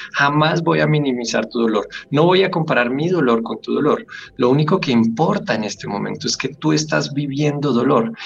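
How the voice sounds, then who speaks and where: A man with a fairly high pitch and lively intonation at a moderate pace, amid noticeable background noise. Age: 30s. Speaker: grief counselor and death educator. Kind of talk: interview.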